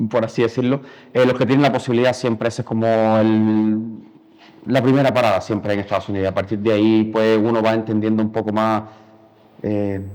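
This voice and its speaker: A man's monotone, flat delivery broken by long, frequent pauses. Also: medium pitch for a man, fairly quick pace. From Cuba. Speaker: painter. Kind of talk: interview. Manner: halting.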